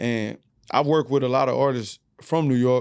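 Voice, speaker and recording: Speaking fairly quickly with an American accent, a man keeps a medium pitch and fairly even intonation against a quiet background. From Houston, Texas. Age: 30s. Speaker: rapper. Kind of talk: casual chat.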